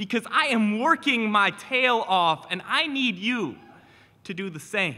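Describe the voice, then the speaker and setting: Raising and projecting his voice, a man speaks in an animated tone. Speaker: teacher and spoken word poet. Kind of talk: spoken word performance.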